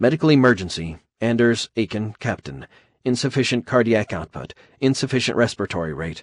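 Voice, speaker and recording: Using a robotic, put-on character voice, a man speaks at a fairly quick pace with a medium pitch. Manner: emergency alert.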